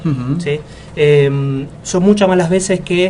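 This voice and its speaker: There is noticeable background noise as a man speaks fairly slowly in a fairly high voice. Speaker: leadership consultant, interview guest. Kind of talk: radio interview answer.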